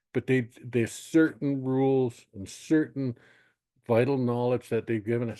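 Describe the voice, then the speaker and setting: Dark, mellow tone over a quiet background. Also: man. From northern British Columbia, Canada (First Nations). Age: 60s. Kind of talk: webinar panel talk. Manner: halting, with many false starts.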